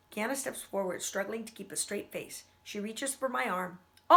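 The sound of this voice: An unforced reading voice comes through here.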